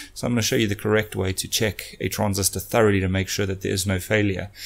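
A man talks at a very fast pace. His fairly low voice stays monotone and flat. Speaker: electronics repair channel host. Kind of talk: tutorial intro, casual vlog chat. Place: workshop. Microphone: studio mic.

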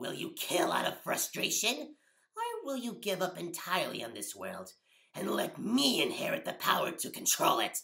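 Put-on character voice, fairly high in pitch, delivered at a moderate pace. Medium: role play. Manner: mocking, menacing.

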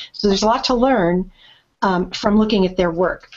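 The speaker moves at a fairly quick pace with fairly even intonation. Light background noise sits behind the voice. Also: woman. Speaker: podcast host. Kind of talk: casual chat. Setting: video call. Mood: friendly, upbeat. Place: home room. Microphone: webcam.

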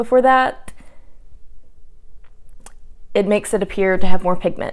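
Vocal fry against a quiet background. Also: woman. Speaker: beauty vlogger. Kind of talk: casual vlog chat. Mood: playful, self-deprecating. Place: home room. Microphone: lapel.

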